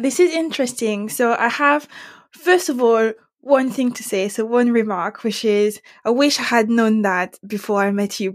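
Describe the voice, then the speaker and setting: A woman with a French accent speaks at a fairly high pitch. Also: ordinary pitch variation, moderate pace. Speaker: podcast host. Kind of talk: interview.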